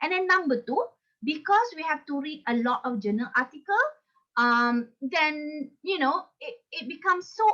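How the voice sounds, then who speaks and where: A raised, projected voice with very wide pitch swings at a moderate pace. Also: woman. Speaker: academic trainer. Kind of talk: online workshop presentation.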